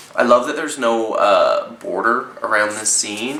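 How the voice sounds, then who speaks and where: The voice carries a Canadian accent. Audible room echo and noticeable background noise run through the clip. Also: man. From Canada. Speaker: zine reviewer. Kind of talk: casual review. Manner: hesitant, many fillers.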